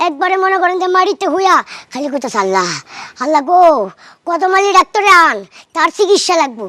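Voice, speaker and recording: Using a put-on character voice, a woman talks at a fairly quick pace with an extremely high pitch and lively intonation. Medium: comedy sketch.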